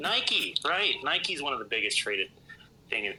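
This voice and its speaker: Noticeable background noise sits behind a man talking. He speaks at a moderate pace with a Midwestern US accent. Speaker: podcast guest, gamer. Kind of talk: casual chat. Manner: animated.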